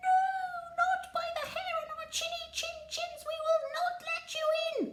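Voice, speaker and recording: A woman performs a cartoonish character voice at an extremely high pitch. She delivers it at a fairly slow pace. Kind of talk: children's story telling. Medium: puppet.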